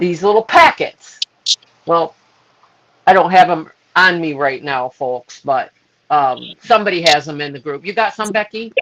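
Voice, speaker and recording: A woman with an American accent, fairly low pitch and lively intonation, at a fairly slow pace with long, frequent pauses. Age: 60s. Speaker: health product distributor. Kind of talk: testimony. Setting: social media live video.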